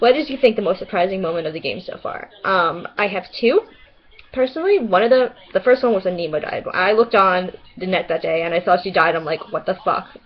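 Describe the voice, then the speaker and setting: The speaker moves at a fairly quick pace with lively intonation. Noticeable background noise runs underneath. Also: woman, medium pitch for a woman. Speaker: vlogger. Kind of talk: casual webcam vlog. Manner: animated.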